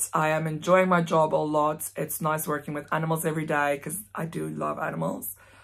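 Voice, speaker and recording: With a South African accent, a woman talks in a very deep, low voice with fairly even intonation and hardly any pauses, against a quiet background. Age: 20s. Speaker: vlogger. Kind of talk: casual vlog monologue. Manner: fast talker. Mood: relaxed, candid. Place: home room. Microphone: phone near.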